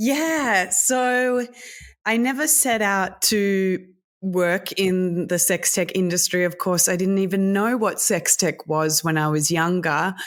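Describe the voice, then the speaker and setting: At a very slow pace, a medium-pitched woman with an Australian accent talks with lively intonation on a very clean recording with a silent background. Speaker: sex tech entrepreneur and speaker. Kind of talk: interview.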